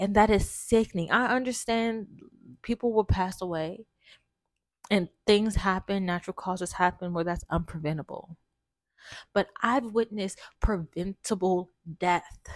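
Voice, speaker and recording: A woman speaks at medium pitch and a moderate pace, with long, frequent pauses. The very clean recording has a silent background and a dry, close sound with no echo. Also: ordinary pitch variation. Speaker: podcast host. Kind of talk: casual monologue. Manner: halting, stumbling.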